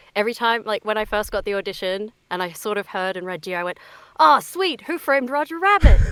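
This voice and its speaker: A woman with an Australian accent, fairly high-pitched, at a very fast pace with lively intonation. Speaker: voice actor. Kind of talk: interview.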